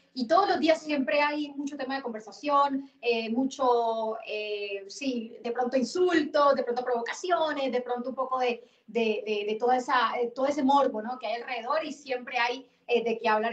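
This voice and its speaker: Speaking at a moderate pace with hardly any pauses, a woman uses a high voice with ordinary pitch variation. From Colombia. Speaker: football commentator. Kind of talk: casual chat.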